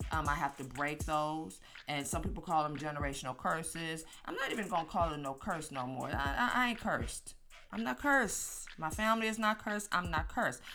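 With music in the background, a woman talks at a fairly quick pace in an animated tone, her very deep, low pitch moving in very wide swings. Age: 50s. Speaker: podcast host. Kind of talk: casual monologue.

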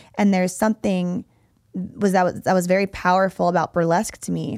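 A woman with an ordinary speaking voice talks at a moderate pace and a medium pitch. The recording is very clean, with a silent background and a dry, close sound with no echo. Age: 30s. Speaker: fitness coach and podcast host. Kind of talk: casual chat.

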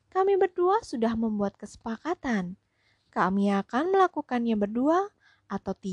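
In a natural reading voice, the speaker reads against a quiet background.

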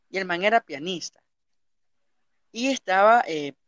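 The man's voice is high-pitched, with lively intonation. He talks at a fairly slow pace. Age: 20s. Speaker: podcast host. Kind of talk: casual chat.

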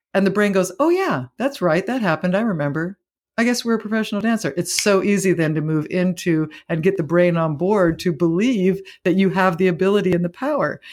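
A woman with a normal speaking voice talks at a fairly quick pace, medium in pitch with ordinary pitch variation. Her loudness stays very even on a very clean recording with a silent background. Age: 50s. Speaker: spiritual teacher. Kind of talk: interview.

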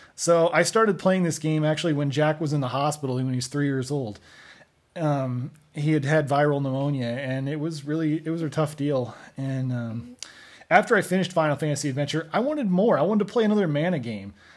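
A man talks at a fairly quick pace. His voice is fairly high-pitched, with ordinary pitch variation. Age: 30s. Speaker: podcast host and father. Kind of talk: casual game review podcast. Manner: hesitant with frequent fillers.

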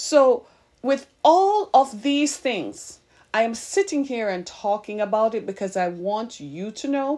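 Pitch swings very widely as the speaker goes at a fairly slow pace. The recording is very clean, with a silent background. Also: woman. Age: 50s. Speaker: podcast host and minister. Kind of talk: sermon.

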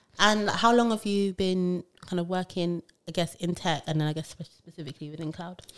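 A woman speaks with a British accent at a moderate pace. Her pitch is fairly low, with ordinary variation. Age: 20s. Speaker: HR podcast host. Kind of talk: casual chat. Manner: animated.

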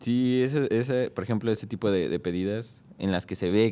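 On a very clean recording with a silent background, a man with a dark, mellow tone speaks with ordinary pitch variation. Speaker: podcast co-host. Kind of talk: casual chat.

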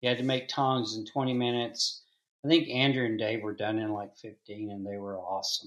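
A man with an American accent and an ordinary speaking voice, medium pitch, fairly even intonation and a fairly quick pace against a quiet background. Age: 60s. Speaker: blacksmith and forge maker. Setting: video call.

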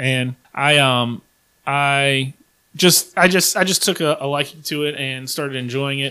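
In an American accent, a man speaks slowly-ish with a fairly high pitch and a bright, sharp tone. The recording is very clean, with a silent background. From Virginia. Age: 30s. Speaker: podcast host. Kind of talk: casual chat. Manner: animated.

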